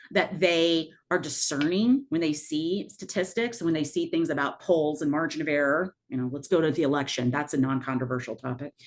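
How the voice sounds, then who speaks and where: A woman speaks with a very deep, low pitch and ordinary pitch variation. Her pace is fairly quick, with hardly any pauses. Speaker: math professor leading faculty training. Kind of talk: workshop presentation. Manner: fast.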